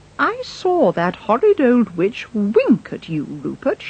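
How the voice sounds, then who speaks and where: This is a put-on character voice that sounds female. It sits fairly high in pitch and moves at a fairly slow pace. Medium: read story.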